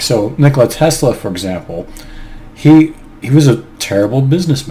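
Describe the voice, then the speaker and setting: The speech has lively intonation and an American accent, with noticeable background noise behind it. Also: man. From United States. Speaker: YouTuber discussing personality types. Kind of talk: casual monologue video. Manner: hesitant, with fillers and restarts.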